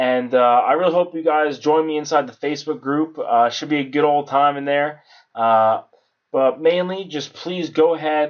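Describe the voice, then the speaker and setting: This man's voice sits fairly high in pitch. His pitch varies in an ordinary way. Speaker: YouTuber reviewing an online course. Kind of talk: casual screen-share course review. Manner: fast; filler-heavy, with frequent ums and uhs.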